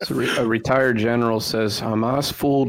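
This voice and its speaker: Noticeable background noise sits behind speech whose intonation stays fairly even. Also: man. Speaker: guest co-panelist.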